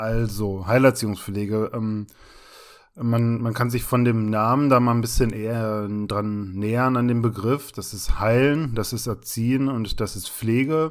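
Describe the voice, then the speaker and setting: A man's normal speaking voice, medium in pitch, fairly slow and fairly even in intonation, on a very clean recording with a silent background. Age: 30s. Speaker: podcast co-host, trainee special-needs care worker. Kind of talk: casual chat.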